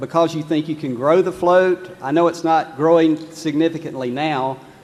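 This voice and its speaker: The intonation stays fairly even while noticeable background noise is present. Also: man. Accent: North Carolina. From North Carolina, Lexington. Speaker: shareholder asking a question. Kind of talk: audience question. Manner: hesitant, many fillers.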